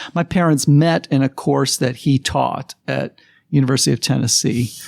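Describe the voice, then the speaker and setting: A man with an American accent speaks with vocal fry and fairly even intonation. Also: medium pitch for a man, moderate pace, dry, close sound with no echo. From New Jersey. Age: 60s. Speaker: psychology professor. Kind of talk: interview. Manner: casual, conversational.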